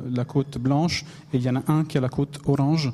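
This man has a dark, mellow tone and a fairly high pitch. His intonation stays monotone and flat. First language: Italian (speaking French). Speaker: newspaper infographics editor. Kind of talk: panel discussion. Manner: halting.

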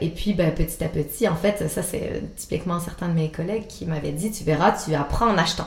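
A woman with a Quebec accent speaks at a moderate pace with a fairly low pitch. The room echo is audible and the background noise noticeable. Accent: Québécois French. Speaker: antiques dealer. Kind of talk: interview. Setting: her showroom. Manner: hesitant, with many fillers.

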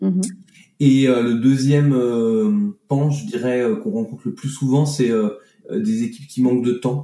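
A man's medium-pitched voice with a dark, mellow tone and lively intonation, at a fairly slow pace with long, frequent pauses. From France, Annecy (Alps). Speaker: business consultant and facilitator. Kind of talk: interview conversation. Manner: hesitant, with frequent fillers and repetitions.

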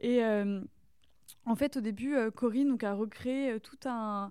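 Her fairly high voice carries fairly even intonation as this woman speaks. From France, rural Burgundy (Saône-et-Loire). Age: young. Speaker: artist. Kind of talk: casual interview chat. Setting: artist's studio. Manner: halting.

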